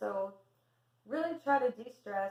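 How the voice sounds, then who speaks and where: A woman speaks in a soft-spoken way. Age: 50s. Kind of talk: casual talk to camera.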